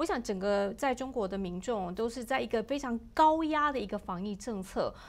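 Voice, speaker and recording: Lively intonation and a moderate pace from a woman with fairly high pitch. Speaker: livestream health show host. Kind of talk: interview. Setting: studio. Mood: concerned, sympathetic. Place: studio. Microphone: lapel.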